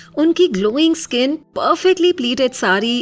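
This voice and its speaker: Music plays in the background as a woman with a high pitch speaks in very wide pitch swings. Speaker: voice-over artist. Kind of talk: emotional diary-style story narration. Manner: soft, emotional.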